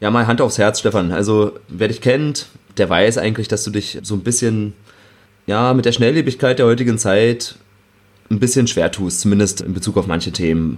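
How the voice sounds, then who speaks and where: The pitch is fairly low, with ordinary pitch variation. A man talks in an ordinary speaking voice. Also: moderate pace. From Berlin outskirts, Germany. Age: 30s. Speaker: podcast host. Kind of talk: interview. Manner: fluent, scripted-sounding moderation.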